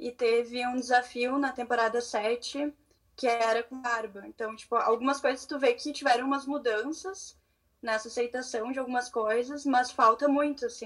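The delivery has fairly even intonation at a moderate pace. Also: woman, high pitch for a woman. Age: 20s. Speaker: law student. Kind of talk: casual chat. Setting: video call.

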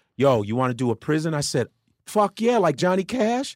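In a Chicago accent, a man with a fairly high pitch swings very widely in pitch at a moderate pace, in a very clean, dry, close recording with no echo and a silent background. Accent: Chicago American English. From Chicago, US Midwest. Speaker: comedian. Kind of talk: casual chat. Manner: animated.

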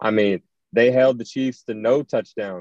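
A man at a medium pitch with an American accent, ordinary pitch variation, and a fairly slow pace, in a dry, close sound with no echo. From US South, rural North Georgia. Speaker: football prospect, athlete. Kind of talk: interview.

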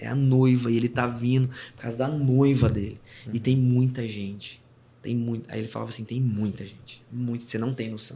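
Somewhat breathy and dark, mellow in tone, the voice runs at a fairly quick pace with monotone, flat intonation and big swings in loudness. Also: man, medium pitch for a man. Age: 30s. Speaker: worship pastor and musician. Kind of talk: casual chat.

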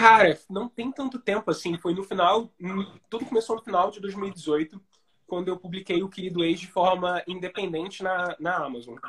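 A high-pitched man speaks with big swings in loudness. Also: ordinary pitch variation, moderate pace. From Brazil, Rio de Janeiro. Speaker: writer and screenwriter. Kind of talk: casual interview on a live stream. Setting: Instagram live video call.

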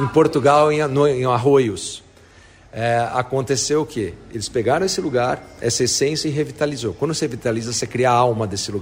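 A man talks at a medium pitch and moderate pace with ordinary pitch variation. Noticeable background noise runs underneath. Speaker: real estate executive. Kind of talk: interview. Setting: on site at a construction project. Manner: enthusiastic.

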